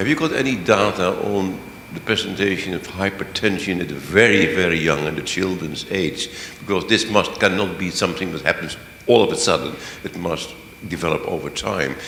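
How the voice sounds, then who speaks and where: With audible room echo and noticeable background noise, a man speaks fairly quickly at a very deep, low pitch with ordinary pitch variation. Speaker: audience member asking a question. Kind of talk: question from the floor.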